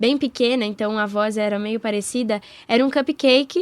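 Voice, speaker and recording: The background is silent and the recording very clean as a woman talks. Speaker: voice actress and musical theatre actress. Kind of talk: interview. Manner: speaking higher than usual.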